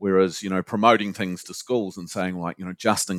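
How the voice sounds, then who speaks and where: Fairly quick pace on a very clean recording with a silent background. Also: man. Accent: New Zealand. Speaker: university lecturer and suicide prevention researcher. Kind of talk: interview.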